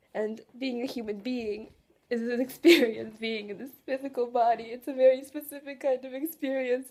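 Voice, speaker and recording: A woman speaks in a high voice. Her pace is moderate. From Russia. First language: Russian. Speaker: vlogger. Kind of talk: emotional personal monologue. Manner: halting, emotional.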